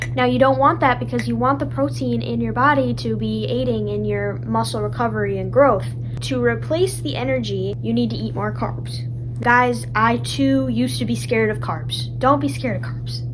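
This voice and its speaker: A woman's very deep, low voice in a monotone, flat intonation at a moderate pace, with noticeable background noise and audible room echo. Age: young. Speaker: lifestyle vlogger. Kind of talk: casual explainer.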